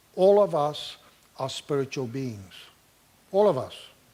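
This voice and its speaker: A man with a non-native accent, at a fairly slow pace, with lively intonation. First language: not English (English is third language). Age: 60s. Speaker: pastor and clinical therapist. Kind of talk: Q&A answer after talk.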